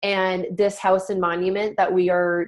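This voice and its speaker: A woman speaks with an American accent. Her pitch sits in the middle range. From Montana. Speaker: direct sales team leader. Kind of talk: team conference call presentation. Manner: animated; fast.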